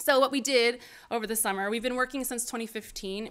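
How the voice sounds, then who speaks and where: A woman with an American accent at a fairly quick pace and ordinary pitch variation, on a very clean recording with a silent background. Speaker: archaeologist presenter. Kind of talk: conference presentation. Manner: many fillers, halting.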